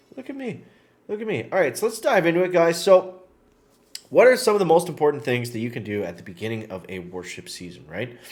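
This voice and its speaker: Talking at a very fast pace, a man uses a fairly high pitch with vocal fry, big swings in loudness and very wide pitch swings. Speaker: gaming YouTuber. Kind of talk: gameplay tutorial. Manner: casual, filler-heavy.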